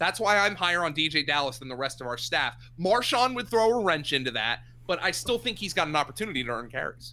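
A man with an American accent speaks at a fairly quick pace. His high voice swings very widely in pitch. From southeastern Pennsylvania (Lehigh Valley). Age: 30s. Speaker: sports radio host and fantasy football analyst. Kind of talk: podcast interview.

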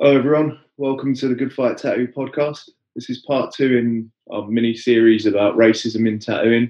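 A man uses an ordinary speaking voice at medium pitch, moving at a moderate pace with fairly even intonation. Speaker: podcast host. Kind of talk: podcast intro and outro.

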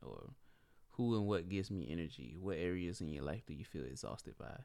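A man with a very deep, low pitch talks at a fairly quick pace. His intonation is lively, with vocal fry. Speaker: podcast co-host. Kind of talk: casual chat. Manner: laid-back.

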